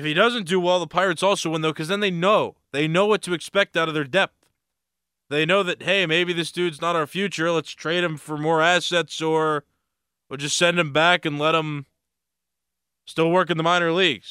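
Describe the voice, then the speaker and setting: On a very clean recording with a silent background, a man with an American accent speaks at a moderate pace in a high pitch, his tone bright and sharp, his intonation fairly even, the sound dry and close with no echo. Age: 20s. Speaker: sports podcast host. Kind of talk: solo sports commentary. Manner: casual, conversational with fillers.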